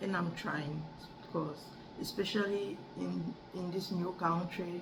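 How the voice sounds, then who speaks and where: The speaker has a French accent and talks at a fairly slow pace in a monotone, flat intonation. Audible room echo and noticeable background noise are present. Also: woman, fairly low pitch for a woman. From Cameroon. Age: 30s. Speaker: adult student. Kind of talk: class speech assignment. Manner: halting, with many repetitions and restarts.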